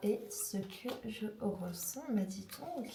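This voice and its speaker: Noticeable background noise and audible room echo fill the recording. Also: woman. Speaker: tarot card reader. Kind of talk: tarot reading to viewer. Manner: soft-spoken; hesitant with fillers.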